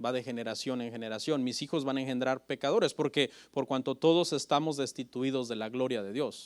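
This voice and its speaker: At a fairly brisk speed, a man talks with pitch that shifts in an ordinary way. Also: very clean recording, silent background. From Mexico (Oaxaca family, raised in State of Mexico). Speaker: pastor. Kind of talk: sermon. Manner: halting, with frequent self-corrections.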